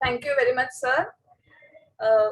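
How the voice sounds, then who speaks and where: In a Marathi accent, a woman with a high pitch speaks at a moderate pace with fairly even intonation. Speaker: editor and event presenter. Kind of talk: event presentation and personal reflection.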